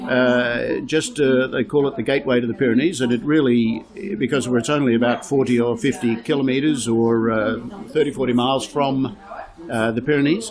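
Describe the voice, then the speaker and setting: Against noticeable background noise, a man speaks at a moderate pace and medium pitch, with ordinary pitch variation and very even loudness. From Australia. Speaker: real estate agent. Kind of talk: interview. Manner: conversational, many fillers.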